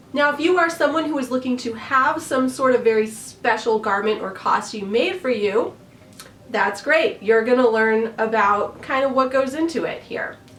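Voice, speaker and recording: Over noticeable background noise, a woman with an American accent speaks at a moderate pace. Her pitch is high and her intonation lively. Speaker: costume designer and YouTuber. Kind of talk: tutorial. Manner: friendly, conversational.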